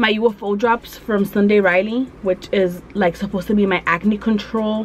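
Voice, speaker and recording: A woman's voice with fairly even intonation over light background noise. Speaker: beauty vlogger. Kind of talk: casual vlog chat. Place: home room. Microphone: phone near.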